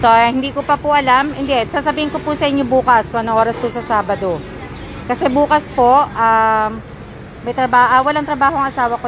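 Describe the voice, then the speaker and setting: Over crowd noise in the background, a woman speaks with a high pitch and ordinary pitch variation. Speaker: vlogger. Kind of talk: live stream chat. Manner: hesitant, many fillers.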